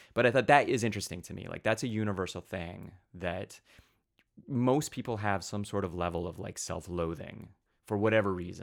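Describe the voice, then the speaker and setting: A man with an unremarkable speaking voice and a fairly low pitch talks at a moderate pace with ordinary pitch variation, recorded very cleanly against a silent background. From US, rural southeast Idaho. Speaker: comic book writer. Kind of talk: casual interview chat.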